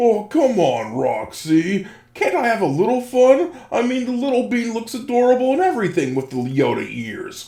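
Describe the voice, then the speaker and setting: A put-on character voice, fairly high in pitch, at a moderate pace. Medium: machinima. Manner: warm, friendly.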